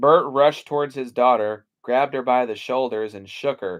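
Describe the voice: Over a quiet background, someone reads aloud plainly with ordinary pitch variation.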